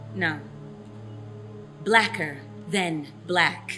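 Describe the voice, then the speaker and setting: A woman talks very slowly. Music can be heard behind her. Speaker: spoken word poet. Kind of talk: spoken word poetry performance.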